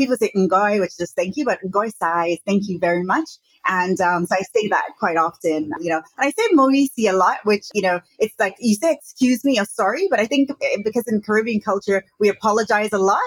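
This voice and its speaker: This woman has an ordinary speaking voice at a medium pitch, with an American accent and lively intonation. She talks at a fairly quick pace, and the sound is dry and close with no echo. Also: hardly any pauses. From Brooklyn, New York. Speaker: entrepreneur and business consultant. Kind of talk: interview conversation. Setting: remote call from Hong Kong.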